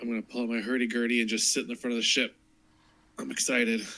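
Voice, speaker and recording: Using a raspy, put-on character voice, a man speaks at a very fast pace. His medium pitch stays flat and monotone. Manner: excited.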